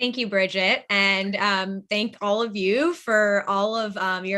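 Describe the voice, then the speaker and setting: The tone is bright and sharp, with an American accent. Delivery comes at a moderate pace with fairly even intonation. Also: woman. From Boston, Massachusetts, US. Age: 20s. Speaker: nonprofit founder. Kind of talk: webinar presentation.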